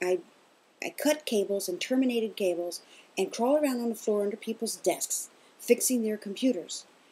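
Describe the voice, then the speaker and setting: A woman in a Southern accent has a dark, mellow tone, a fairly high pitch and lively intonation. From US South, Kentucky. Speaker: interviewee, mother of host. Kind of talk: casual interview.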